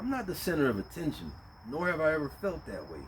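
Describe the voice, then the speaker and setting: Very wide pitch swings from a man over noticeable background noise. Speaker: vlogger. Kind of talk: casual monologue. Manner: loud; casual, halting.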